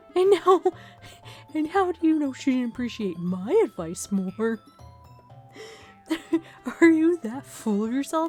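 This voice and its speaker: A woman speaks in a raspy, put-on character voice, high-pitched with very wide pitch swings. Her pace is fairly slow, with long, frequent pauses and faint music in the background. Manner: confrontational.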